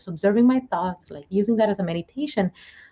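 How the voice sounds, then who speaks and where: Somewhat breathy, a woman with an Italian accent speaks very fast. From Italy. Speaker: spiritual medium and live show host. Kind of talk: casual chat. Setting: livestream. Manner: animated.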